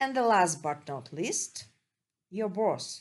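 A woman with a non-native accent talks at a very slow pace with lively intonation. The background is quiet. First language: Russian. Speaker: psychologist. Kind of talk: podcast monologue. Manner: halting.

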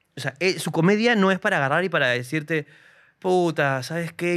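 Over a very clean recording with a silent background, a man with a high pitch talks at a moderate pace with lively intonation. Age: 30s. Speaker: comedian. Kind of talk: casual chat.

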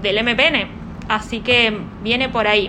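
Spoken at a very slow pace, the clip carries audible room echo and noticeable background noise. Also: woman. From Argentina, Neuquén. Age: 20s. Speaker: young party activist. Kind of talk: interview.

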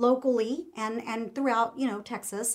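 Her pace is fairly quick. A woman speaks at a high pitch with fairly even intonation. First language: Spanish. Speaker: host's wife, political commentator. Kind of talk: casual interview conversation.

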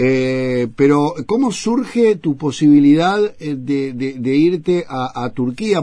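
The speaker uses lively intonation in a Uruguayan accent, over noticeable background noise. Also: man. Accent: Rioplatense Spanish, Uruguayan. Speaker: radio host. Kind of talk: radio interview. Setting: radio studio. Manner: halting, repeats words.

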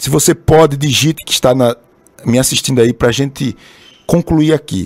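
The recording is dry and close with no echo, carrying a man's fairly high-pitched voice. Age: 30s. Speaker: pastor. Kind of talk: sermon. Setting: live stream broadcast also on radio.

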